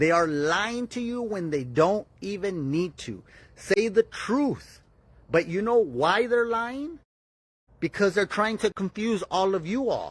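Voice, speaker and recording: Shouting loudly in an American accent, a man speaks very slowly at a high pitch with lively intonation. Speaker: political podcast host. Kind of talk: live-stream commentary. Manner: loud, yelling.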